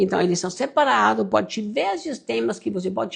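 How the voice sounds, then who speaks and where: Speaking with a German accent, a man uses a high pitch that swings very widely. His pace is moderate. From Austria. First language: German (speaking Portuguese). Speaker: pastor and online mentor. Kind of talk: live stream sermon with sales pitch. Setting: live stream.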